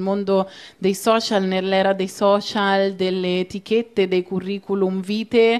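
At a fairly slow pace, a woman of medium pitch speaks in a monotone, flat intonation. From Italy, Rome. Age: young. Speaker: activist; guest. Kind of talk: panel discussion. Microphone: handheld.

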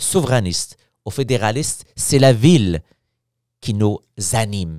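A man with lively intonation at a fairly slow pace, in a dry sound with no echo against a quiet background. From Morocco. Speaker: opposition member of parliament; politician guest. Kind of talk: casual interview. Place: studio. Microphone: studio mic.

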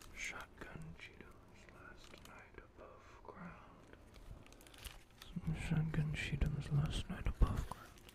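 A man whispers in a relaxed tone. He speaks at a very slow pace. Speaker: ASMR creator. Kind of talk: reading a novel aloud. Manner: soft-spoken, relaxed, sleepy. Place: home room. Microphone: studio mic.

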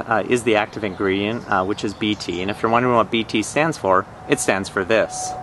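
At a fairly quick pace and with hardly any pauses, a man talks with a fairly low pitch. The sound is dry with no echo, with light background noise. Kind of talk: casual product review tutorial. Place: garden. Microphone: phone near.

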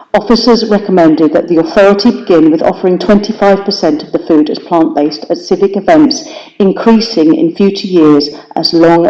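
An English accent over noticeable background noise. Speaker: city councillor. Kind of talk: council debate speech. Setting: council chamber meeting. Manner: fast.

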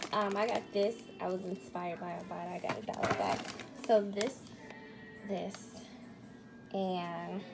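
A woman talks at a moderate pace and ordinary pitch variation while music plays behind her. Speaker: home vlogger. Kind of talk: casual vlog chat. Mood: cheerful, laughing. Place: kitchen. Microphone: phone near.

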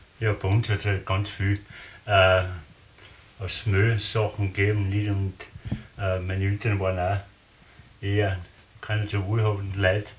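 A man with a fairly low pitch speaks at a moderate pace in a monotone, flat way. He takes long, frequent pauses over light background noise. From Austria. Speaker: contemporary witness; witness. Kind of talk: interview. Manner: halting. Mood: relaxed, reminiscing. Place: home room. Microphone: camera far.

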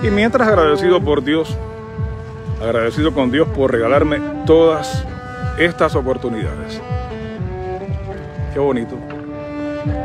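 With a Cuban accent, a man speaks with long, frequent pauses over clear background music, the sound dry with no echo. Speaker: announcer. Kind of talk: casual talk to camera. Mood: reflective, earnest. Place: street. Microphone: phone near.

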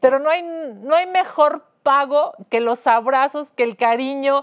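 Her delivery is fairly slow, and her pitch moves in an ordinary way. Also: quiet background. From Mexico. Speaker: host and politician. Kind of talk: rally or protest speech, denouncing president. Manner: indignant, forceful, declamatory. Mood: indignant, emphatic. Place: studio.

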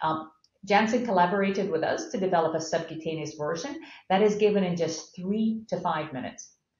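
Speaking at a fairly quick pace with an American accent, a woman's fairly low voice shows ordinary pitch variation against audible room echo. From Scotland. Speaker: pharmaceutical company CEO; guest. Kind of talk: interview. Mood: calm, explanatory. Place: office. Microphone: webcam.

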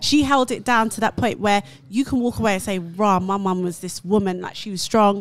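A woman at a moderate pace, ordinary pitch variation, dry sound with no echo. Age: 30s. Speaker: panel guest; guest. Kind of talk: casual debate. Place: studio. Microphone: studio mic.

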